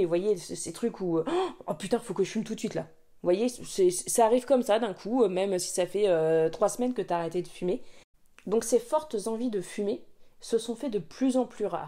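A woman's dark, mellow tone at medium pitch, with ordinary pitch variation and a moderate pace. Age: 30s. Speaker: YouTuber on saving money, former smoker. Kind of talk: personal story time, podcast-style monologue. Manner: hesitant, many filler words and repetitions.

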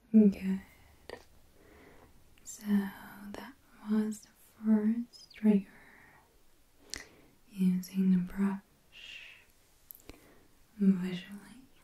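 A woman speaks at a very slow pace, with long, frequent pauses. Audible room echo surrounds her voice. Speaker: ASMR creator. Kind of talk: ASMR roleplay, personal attention. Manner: soft-spoken, whispering. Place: home room.

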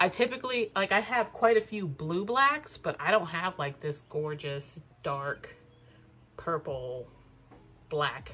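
Speaking at a very slow pace, a woman has a fairly low pitch, a bright, sharp tone, and lively intonation over light background noise. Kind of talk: casual haul vlog chat. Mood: excited, enthusiastic.

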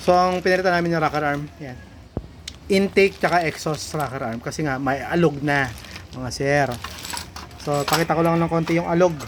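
At a fairly quick pace but with long, frequent pauses, a man with a fairly high pitch speaks over noticeable background noise. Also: ordinary pitch variation. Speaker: motorcycle mechanic and vlogger. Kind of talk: casual video vlog, shop demonstration.

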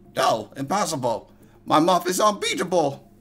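A put-on character voice at a moderate pace. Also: man, high pitch for a man. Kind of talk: comic villain voice acting. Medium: solo performance. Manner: sly, gloating, then disbelieving.

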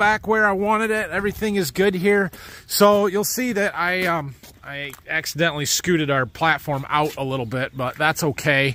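A man speaks in a raised, projected voice at a moderate pace with lively intonation. The sound is dry, with no echo. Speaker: farmer vlogger. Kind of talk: casual vlog chat. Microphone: phone near.

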